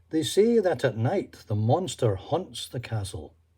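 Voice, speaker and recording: A man speaks at a very slow pace, his medium-pitched voice somewhat breathy with a dark, mellow tone and very wide pitch swings. The recording is very clean, with a silent background. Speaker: storyteller. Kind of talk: children's story reading.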